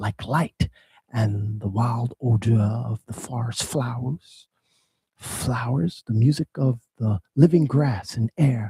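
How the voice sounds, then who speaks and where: A man's very slow, somewhat breathy voice with a dark, mellow tone and ordinary pitch variation, dry and close with no echo. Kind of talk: dramatic poetry reading.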